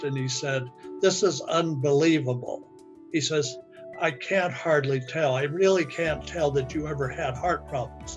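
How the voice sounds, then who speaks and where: Music plays in the background while a man talks. His pitch is fairly high and his pace fairly slow. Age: 80s+. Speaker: product testimonial giver, independent business owner. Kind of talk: testimonial interview answer. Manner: hesitant, halting.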